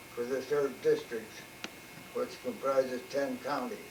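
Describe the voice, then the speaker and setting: A man with a Midwestern US accent speaks very slowly at a medium pitch. His intonation is fairly even, and there is noticeable background noise. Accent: US Midwest. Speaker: retired mechanic. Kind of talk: oral history interview. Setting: at home. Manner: halting.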